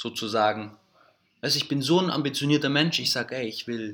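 A man talks in a plain, everyday voice. His pace is fairly quick and his pitch variation ordinary. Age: 30s. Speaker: entrepreneur. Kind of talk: casual interview conversation. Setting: recorded in Greece.

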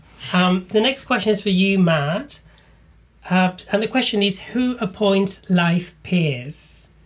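At a very slow pace, a woman speaks in a somewhat breathy voice at a medium pitch with ordinary pitch variation. Her loudness stays very even. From Malta. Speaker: comedian and podcast host. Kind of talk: casual interview chat.

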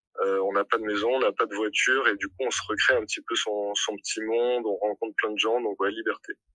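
At a fairly quick pace with hardly any pauses, a man speaks in a dry, close sound with no echo. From southern France, Montpellier. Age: 20s. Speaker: hospitality manager, working holiday traveller. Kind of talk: casual interview testimony. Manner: hesitant, many fillers.

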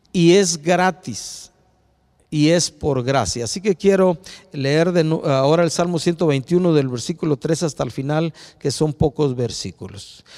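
A man talks rather slowly, his voice pitched somewhat high and varying in a normal way. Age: 60s. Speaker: preacher. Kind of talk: sermon. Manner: halting.

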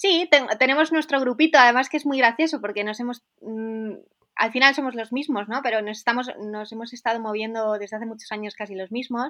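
Over a quiet background, a woman with a fairly high pitch and a bright, sharp tone talks at a fairly quick pace, with ordinary pitch variation and big swings in loudness. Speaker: snowboarder. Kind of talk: interview.

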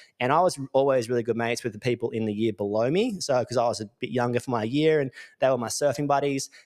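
Speaking very fast, a man uses an Australian accent at a medium pitch. His pitch varies in an ordinary way. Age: 30s. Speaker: electrical business coach. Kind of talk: casual monologue. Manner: animated.

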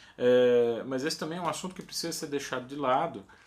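His voice is fairly high for a man. The intonation rises and falls in a lively way. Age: 40s. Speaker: music professor and guitarist. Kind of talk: educational monologue.

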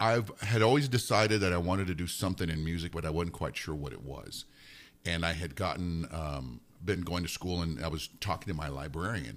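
A man speaks at a very deep, low pitch with vocal fry and ordinary pitch variation, at a fairly quick pace. The recording is very clean, with a silent background. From New Mexico. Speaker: radio DJ. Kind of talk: casual interview chat. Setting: studio.

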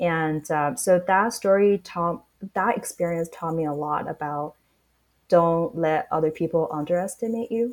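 Speaking in a Chinese accent, a woman talks at a fairly slow pace with ordinary pitch variation. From Shanghai, China. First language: Mandarin Chinese. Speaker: startup founder. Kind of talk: interview.

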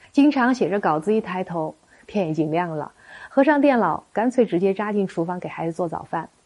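A woman talks at a fairly quick pace in a normal speaking voice of medium pitch, with lively intonation. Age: 40s. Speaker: marriage counselor. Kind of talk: scripted narration.

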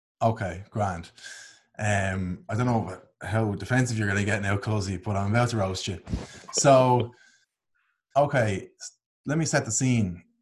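Speaking fairly slowly with long, frequent pauses, a man with an Irish accent has a fairly low, somewhat breathy voice with ordinary pitch variation, recorded very cleanly against a silent background. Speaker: podcast co-host, online content creator. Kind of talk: casual chat.

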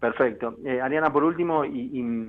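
A man's voice with ordinary pitch variation. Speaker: radio host. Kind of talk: interview. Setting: radio studio. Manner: halting, many repetitions.

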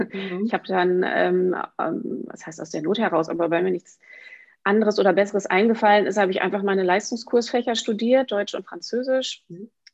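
A woman with an ordinary speaking voice, medium pitch, ordinary pitch variation, big swings in loudness and a fairly quick pace. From northwestern Germany, Emsland. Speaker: children's book author. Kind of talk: interview.

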